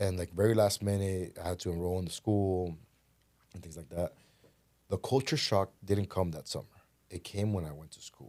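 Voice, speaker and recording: On a very clean recording with a silent background, a man with a very deep, low pitch and a dark, mellow tone speaks with big swings in loudness and long, frequent pauses. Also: ordinary pitch variation. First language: Spanish. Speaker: podcast guest, real estate businessman. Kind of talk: casual interview conversation. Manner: fast.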